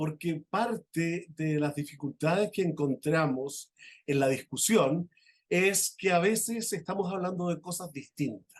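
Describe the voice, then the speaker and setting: With a high pitch, a man speaks at a fairly slow pace. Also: ordinary pitch variation. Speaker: law professor, conference speaker. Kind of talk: conference lecture. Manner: halting, many fillers.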